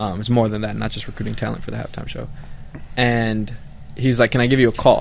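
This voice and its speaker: Loudness swings widely as a man speaks at a very fast pace. There are long, frequent pauses, and room echo is audible. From Southwest Detroit. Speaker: musician. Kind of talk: casual chat. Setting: studio.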